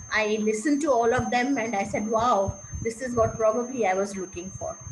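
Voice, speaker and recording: The speaker keeps a moderate pace with ordinary pitch variation over noticeable background noise. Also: woman. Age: 70s. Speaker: meditation participant, retired school counselor. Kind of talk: testimony. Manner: halting.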